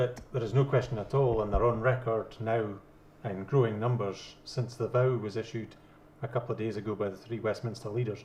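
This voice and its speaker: Breathy to some degree, a man speaks fairly quickly at a medium pitch. His intonation is monotone and flat. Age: 50s. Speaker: debate panelist, yes campaigner. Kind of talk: debate.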